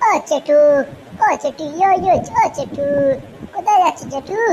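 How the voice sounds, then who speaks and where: A woman puts on a squeaky, cartoonish character voice at an extremely high pitch, with lively intonation and clear background noise behind her. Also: moderate pace. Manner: brash, slangy.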